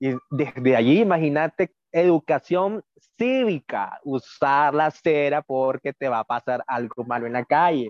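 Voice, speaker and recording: A man's fairly high-pitched voice with lively intonation. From Nicaragua, Managua. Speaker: magazine contributor, migrant. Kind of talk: casual interview chat.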